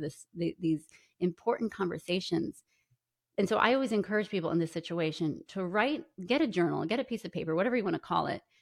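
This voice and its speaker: In a dry, close sound with no echo, a woman with an American accent talks at a very fast pace, her fairly low pitch showing ordinary pitch variation. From New York. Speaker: podcaster and author. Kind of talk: interview.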